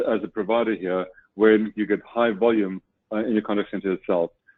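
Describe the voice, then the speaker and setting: Speaking fairly quickly with a South African accent, a man keeps a fairly low pitch and fairly even intonation. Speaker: webinar speaker on customer service technology. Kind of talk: webinar presentation.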